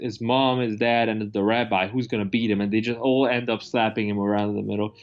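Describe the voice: At a fairly quick pace, a man speaks with a fairly low pitch and fairly even intonation.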